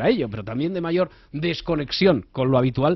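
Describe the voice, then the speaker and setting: Speaking at a moderate pace with ordinary pitch variation, a man uses a plain, everyday voice. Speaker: radio host. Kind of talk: radio magazine show.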